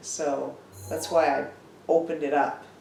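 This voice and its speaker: With a relaxed tone, a woman talks at a fairly slow pace amid noticeable background noise. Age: old. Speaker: gaming grandmother. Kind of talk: gameplay commentary.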